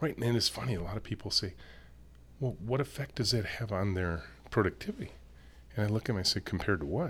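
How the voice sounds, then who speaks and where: Very fast, very wide-swinging speech with vocal fry and long, frequent pauses in an American accent, on a very clean recording over a silent background. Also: man, fairly low pitch for a man. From US Midwest (Michigan). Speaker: company CEO and author. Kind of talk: casual interview chat. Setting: in-person studio.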